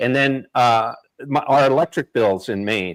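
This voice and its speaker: A man at a medium pitch, a plain, everyday voice with ordinary pitch variation, fairly slow, in a dry, close sound with no echo. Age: 60s. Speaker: live stream host. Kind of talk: live stream political discussion. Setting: live stream.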